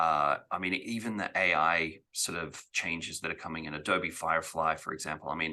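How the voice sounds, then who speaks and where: A man with a very deep, low pitch and a bright, sharp tone, at a moderate pace, with fairly even intonation and hardly any pauses. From Australia. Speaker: actor, director and real estate auctioneer. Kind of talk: podcast interview answer. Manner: casual, conversational.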